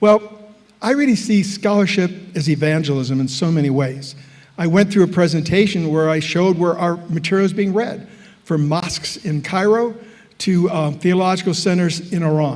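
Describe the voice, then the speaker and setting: With an American accent, a man with a high pitch talks at a moderate pace and ordinary pitch variation, with audible room echo and noticeable background noise. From US Midwest, Chicago area. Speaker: professor. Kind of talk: lecture.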